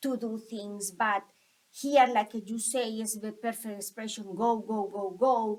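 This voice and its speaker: Speaking in a Colombian accent, a woman uses a fairly high pitch and fairly even intonation. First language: Spanish. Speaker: school staff member. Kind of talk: interview. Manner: halting.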